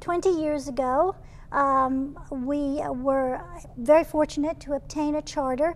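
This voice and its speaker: A woman's high pitch with fairly even intonation at a fairly slow pace. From New York City, Brooklyn. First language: Italian. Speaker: professor. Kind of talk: interview on a cooking show.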